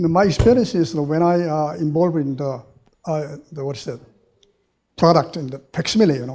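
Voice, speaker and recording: A man with a fairly high pitch and a dark, mellow tone talks at a fairly quick pace, with long, frequent pauses and big swings in loudness. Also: ordinary pitch variation. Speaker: audience member, former engineer and professor. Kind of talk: audience question. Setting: university hall with audience. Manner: halting.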